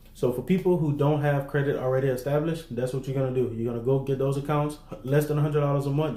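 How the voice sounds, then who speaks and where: In a room with audible echo, a man talks very fast in a medium pitch, his dark, mellow tone held to a flat monotone. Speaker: business funding and credit coach. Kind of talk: livestream tutorial to online group. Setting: livestream in online group. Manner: casual, conversational.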